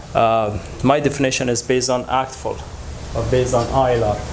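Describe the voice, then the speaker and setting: At a moderate pace, the speech carries audible room echo and noticeable background noise. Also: man. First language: Dari. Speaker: language educator. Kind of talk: conference presentation. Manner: halting, many fillers.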